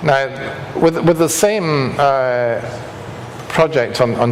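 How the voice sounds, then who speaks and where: A man speaks in a Scottish accent. Room echo is audible, and there is noticeable background noise. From Scotland. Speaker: structural engineer. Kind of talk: lecture.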